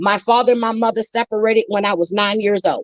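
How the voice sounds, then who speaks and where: Her tone animated, a woman speaks at a medium pitch. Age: 60s. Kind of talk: heated debate.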